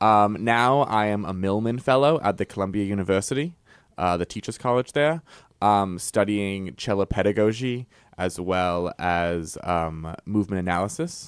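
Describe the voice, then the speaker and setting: With a slight English accent, a man speaks at a fairly low pitch and a moderate pace, with ordinary pitch variation. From Mystic, Connecticut (born in England, moved at four). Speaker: cellist and concert series director. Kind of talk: radio interview.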